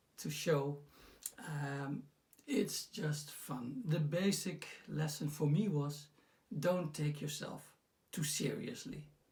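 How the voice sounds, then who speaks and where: A man with a fairly high pitch speaks very slowly and somewhat breathily, with ordinary pitch variation and long, frequent pauses. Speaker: personal development coach. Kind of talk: casual talk to camera. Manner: hesitant, many fillers.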